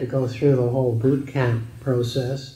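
A man speaks at a moderate pace, his voice somewhat breathy. Audible echo from the room surrounds him. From British Columbia, Canada. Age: 90s. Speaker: steel industry pioneer. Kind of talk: oral history interview. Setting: recorded interview. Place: meeting room.

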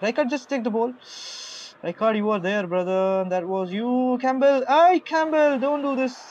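Lively intonation and a moderate pace mark this voice with an Indian accent. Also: man. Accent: Indian English, Hindi speaker. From Maharashtra, India. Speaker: gamer livestreamer. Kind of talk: live game commentary. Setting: live stream. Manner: excitable, reacting aloud to goals.

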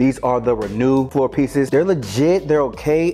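Faint music plays in the background. Over it, a man talks at a moderate pace. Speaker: fitness video creator. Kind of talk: casual vlog chat. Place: garage. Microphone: lapel.

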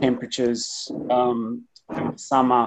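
A man is talking. Background noise is noticeable throughout. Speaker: guest. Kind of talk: talk to an online group. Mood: slightly awkward, earnest. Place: home room. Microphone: video call.

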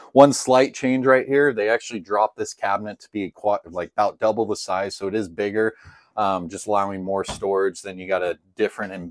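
A man talks at a fairly quick pace in a normal speaking voice, fairly low in pitch with ordinary variation and big swings in loudness. The sound is dry with no echo, and the background is quiet. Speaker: RV salesman. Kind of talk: product walkthrough tour. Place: home room. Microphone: camera far.

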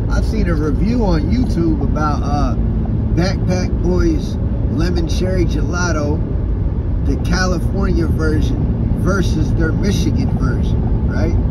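Over loud background noise, a man talks at a fairly slow pace with ordinary pitch variation in a dry recording with no echo. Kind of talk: casual vlog chat. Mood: relaxed, enthusiastic. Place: car. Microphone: phone near.

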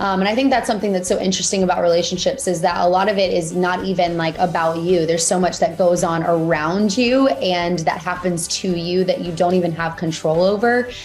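Faint music plays in the background as a woman with a fairly low pitch speaks at a fairly quick pace with hardly any pauses and ordinary pitch variation. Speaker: interview guest. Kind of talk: interview answer. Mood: warm, cheerful. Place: home room. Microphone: video call.

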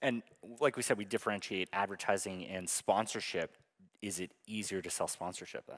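A man with an unremarkable speaking voice talks at a fairly quick pace and a fairly low pitch, with fairly even intonation. His loudness swings widely against a quiet background. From United States. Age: 30s. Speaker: panel moderator. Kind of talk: panel discussion. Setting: stage with audience. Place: hall. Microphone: handheld.

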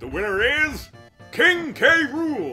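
Over faint music in the background, a man does a put-on character voice, raised and projected at an extremely high pitch. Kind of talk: formal announcer. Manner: booming, dramatic, announcing a winner.

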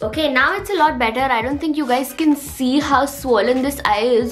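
A woman talks at a moderate pace and a high pitch, with ordinary pitch variation. Faint music plays in the background. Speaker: vlogger. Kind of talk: casual vlog chat. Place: home room. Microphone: phone near.

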